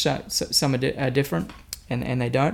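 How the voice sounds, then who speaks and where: A man with an Australian accent talks at a fairly quick pace in a fairly high pitch. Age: young. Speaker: guitarist and singer. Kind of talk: interview.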